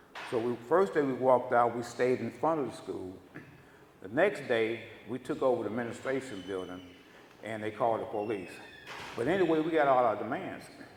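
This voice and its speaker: Over noticeable background noise, a man with an American accent talks at a fairly quick pace and medium pitch, with lively intonation and long, frequent pauses. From Los Angeles, US West Coast (born Houston). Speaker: former activist, guest speaker. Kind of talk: storytelling talk to audience.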